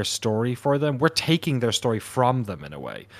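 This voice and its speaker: Using ordinary pitch variation and a moderate pace, a man talks at medium pitch with an Irish accent. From Ireland. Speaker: documentary filmmaker. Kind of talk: casual interview chat.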